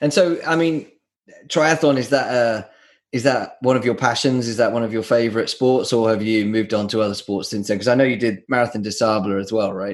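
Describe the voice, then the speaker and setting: With a southern English accent, a man talks at a fairly quick pace and a medium pitch. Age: 40s. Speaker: podcast host. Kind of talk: casual interview chat.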